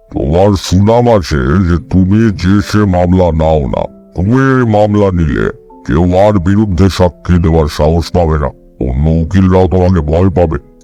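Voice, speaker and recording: A man puts on a character voice, very deep and low, speaking at a moderate pace over faint background music. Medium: read story. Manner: commanding, overbearing.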